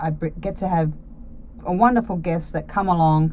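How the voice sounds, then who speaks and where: Speaking at a moderate pace with an Australian accent, a woman keeps a fairly low pitch and fairly even intonation. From Australia, Sydney. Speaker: podcast host. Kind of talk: casual monologue; reading out organisation info. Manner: casual, carefree.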